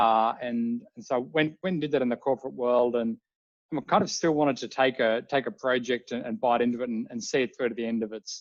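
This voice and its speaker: A man with an Australian accent talks at a fairly quick pace, recorded with a dry, close sound and no echo. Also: medium pitch for a man, ordinary pitch variation. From Australia, Melbourne. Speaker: drone company CEO, former air force pilot. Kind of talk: interview.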